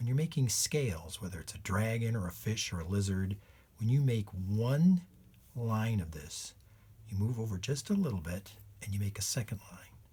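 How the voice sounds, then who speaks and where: Dark and mellow in tone, a man's fairly low, somewhat breathy voice moves at a moderate pace with lively intonation. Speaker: illustrator and children's drawing teacher. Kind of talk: tutorial.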